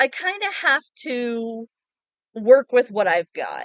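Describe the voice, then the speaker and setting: In a dry, close sound with no echo, a woman speaks at a high pitch with very wide pitch swings. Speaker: gaming content creator. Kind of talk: casual unscripted talk to viewers. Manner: halting, long pauses.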